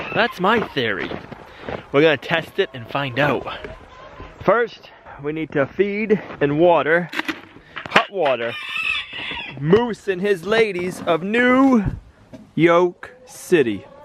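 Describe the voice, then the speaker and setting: With noticeable background noise behind him, a man speaks very slowly at a high pitch, his voice swinging very widely and broken by long, frequent pauses. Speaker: homesteading YouTuber. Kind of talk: casual vlog narration. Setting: outdoors.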